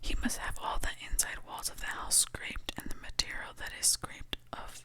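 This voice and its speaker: Over noticeable background noise, someone is whispering. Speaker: ASMR Bible reader. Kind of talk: scripture reading. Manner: soft-spoken, slow.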